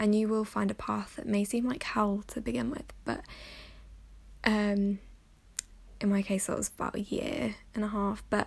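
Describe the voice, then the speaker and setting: Here a woman talks, somewhat breathy. The background is silent on a very clean recording. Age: 20s. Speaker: podcast host. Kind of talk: personal monologue.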